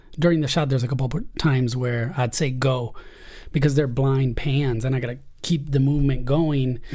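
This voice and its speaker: Audible room echo surrounds a man speaking at a moderate pace and medium pitch. His voice is somewhat breathy with a dark, mellow tone and fairly even intonation. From Spain, then San Diego from age 14. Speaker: Steadicam operator. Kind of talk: casual chat.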